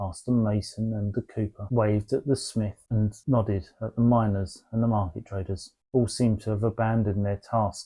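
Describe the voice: Against a quiet background, the plain reading aloud keeps a fairly even intonation.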